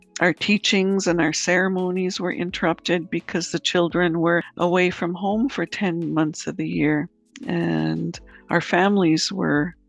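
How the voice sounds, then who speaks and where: Music in the background behind a woman with a Canadian accent, fairly low in pitch, at a fairly slow pace with fairly even intonation. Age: 50s. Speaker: author and residential school survivor. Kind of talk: interview. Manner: slow, measured.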